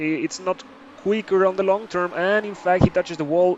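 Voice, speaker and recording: A man with a non-native accent speaks over noticeable background noise. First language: not English. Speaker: esports caster. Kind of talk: live commentary. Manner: hesitant, many fillers.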